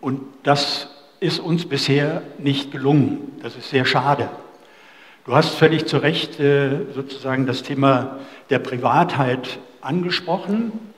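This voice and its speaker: The speech moves at a very slow pace with long, frequent pauses. Its pitch varies in an ordinary way. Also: man, fairly high pitch for a man. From Germany, near former GDR. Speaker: event moderator. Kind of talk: moderated discussion. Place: cafe. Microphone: headset.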